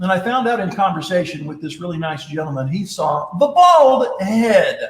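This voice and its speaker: In an animated tone, a man speaks at a high pitch and a moderate pace, his intonation lively and his loudness swinging widely. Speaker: leadership speaker and presenter. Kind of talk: live-streamed talk with storytelling. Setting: live stream broadcast.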